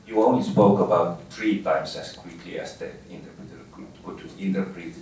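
Audible room echo and light background noise surround a man with a very deep, low pitch who talks at a moderate pace with fairly even intonation. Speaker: speaker. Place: meeting room.

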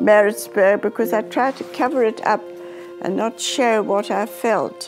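Fairly slow speech with very wide pitch swings over clear music in the background. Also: woman. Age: 80s+. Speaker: grandmother interviewee. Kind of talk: interview answer. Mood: reflective, sometimes sorrowful. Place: home room.

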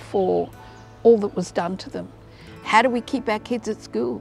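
A woman speaks with a dry sound and no echo. Faint music plays in the background. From Darwin, Northern Territory, Australia. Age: 70s. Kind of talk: advocacy campaign testimony. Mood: earnest, heartfelt. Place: waterside. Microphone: lapel.

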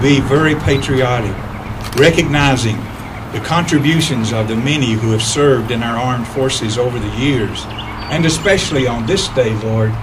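A man's voice with ordinary pitch variation over noticeable background noise. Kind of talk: public prayer. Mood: solemn, reverent. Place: garden. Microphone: pa.

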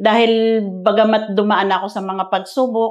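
Fairly slow speech from a woman, quiet background behind her. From Philippines. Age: 50s. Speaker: women's ministry leader. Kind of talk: testimony. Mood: earnest, grateful. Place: studio. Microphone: lapel.

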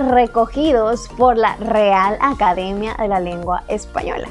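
A woman with a Chiapas accent speaks at a very slow pace in an upbeat, playful tone, her pitch varying in an ordinary way over faint background music. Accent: Chiapas Mexican Spanish. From Chiapas, Mexico. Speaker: YouTuber. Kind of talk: casual talk to camera. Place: home room.

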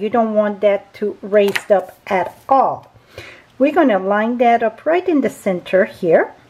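Amid light background noise, a woman speaks at a fairly slow pace with lively intonation. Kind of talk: tutorial.

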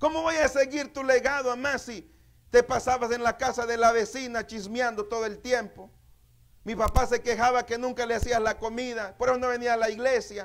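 At a moderate pace, a man speaks in an animated tone with an extremely high pitch. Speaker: pastor. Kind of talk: sermon. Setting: church. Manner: animated, exhortative preaching, with repeated phrases and calls for amens.

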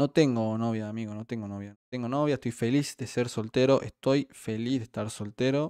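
In a Rioplatense accent, the voice has a dark, mellow tone and fairly even intonation at a moderate pace with hardly any pauses. The sound is dry, with no echo, over a quiet background. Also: man. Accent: Argentine Rioplatense Spanish. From Argentina. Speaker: streamer and game caster; streamer. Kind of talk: live commentary; commentary. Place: home room.

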